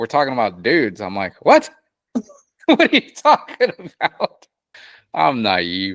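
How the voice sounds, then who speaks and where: A man speaks at a fairly slow pace. Long pauses come often. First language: Spanish. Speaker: mechanic and podcast co-host. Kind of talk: casual chat.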